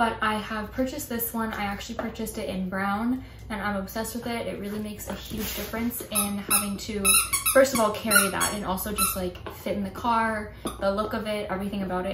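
A woman talking at a very fast pace over loud background noise. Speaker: pet vlogger. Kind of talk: casual vlog chat. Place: home room. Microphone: camera far.

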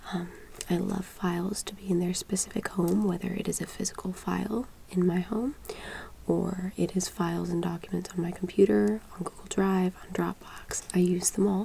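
Soft-spoken and calm in tone, a woman talks at a moderate pace against light background noise. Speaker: interview candidate. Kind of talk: casual interview talk. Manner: soft-spoken, calm close-mic voice. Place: home room.

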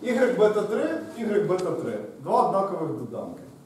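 The intonation is lively and the pace is very slow. Audible room echo and light background noise sit behind the voice. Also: man. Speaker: university lecturer. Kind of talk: lecture. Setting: university classroom with blackboard. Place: classroom. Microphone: camera far.

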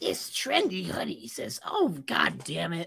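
This is a put-on character voice. The delivery comes at a fairly slow pace. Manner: exasperated, swearing.

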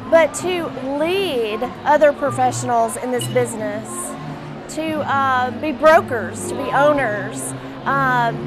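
Clear music plays behind a woman. She speaks at a fairly slow pace. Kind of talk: interview answer. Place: hall. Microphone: lapel.

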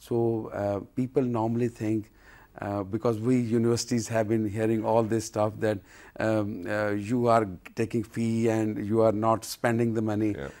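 A man speaks at a moderate pace in a monotone, flat way, with a dark, mellow tone. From Pakistan. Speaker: university vice-chancellor. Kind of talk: TV interview. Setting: TV studio. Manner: halting. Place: studio. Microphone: lapel.

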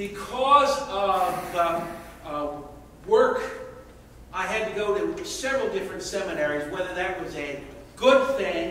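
A man talks loudly at a fairly slow pace, his pitch high and his intonation lively. His tone is bright and sharp, with strong room echo.

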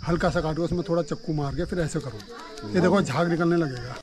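A man with a slightly mellow tone talks fast with ordinary pitch variation over faint background noise. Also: fairly high pitch for a man.

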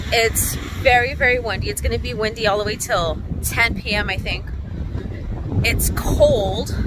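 The speech moves at a very slow pace. The sound is dry with no echo, and there is noticeable background noise. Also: woman. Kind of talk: casual vlog chat. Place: beach. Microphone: phone near.

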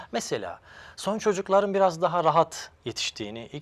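A man's moderate-paced speech is captured in a very clean recording, the background silent. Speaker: psychologist and family counselor. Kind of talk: interview.

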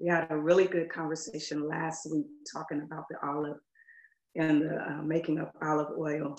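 Audible room echo surrounds a woman's very deep, low-pitched voice. She speaks at a moderate pace in a monotone, flat intonation. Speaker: minister. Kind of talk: sermon. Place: home room.

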